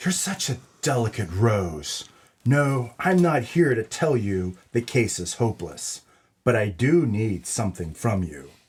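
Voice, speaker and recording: In a very clean recording with a silent background, a man puts on a character voice at medium pitch and talks at a fairly slow pace. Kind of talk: comedy audio drama noir narration.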